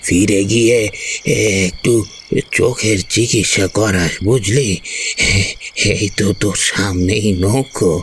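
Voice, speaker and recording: Against clear background noise, a man puts on a character voice at a fairly low pitch, talking at a very slow pace with very even loudness and fairly even intonation. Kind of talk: horror audio drama. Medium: audio drama. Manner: gruff, fatherly, rustic colloquial Bengali.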